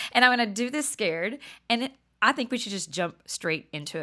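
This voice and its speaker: Speaking with an American accent, a woman sounds animated with a bright, sharp tone at a fairly high pitch and ordinary pitch variation. The recording is very clean with a silent background. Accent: Southern, sometimes thick. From Texas, near Dallas. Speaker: podcast host. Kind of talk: casual monologue. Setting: room with friends present.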